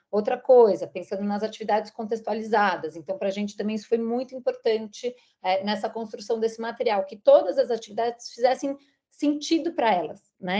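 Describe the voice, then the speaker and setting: At a moderate pace, a woman speaks with a fairly high pitch. Her tone is dark and mellow. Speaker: teacher trainer presenting school material. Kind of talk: training presentation. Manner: hesitant, many fillers.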